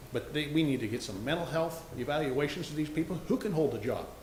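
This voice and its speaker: Amid noticeable background noise and audible room echo, a man with an American accent talks at a fairly quick pace and a fairly high pitch. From US Pacific Northwest, Oregon coast. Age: 60s. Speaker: local business owner, public commenter. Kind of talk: public comment at town hall. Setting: town hall meeting. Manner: animated, emphatic.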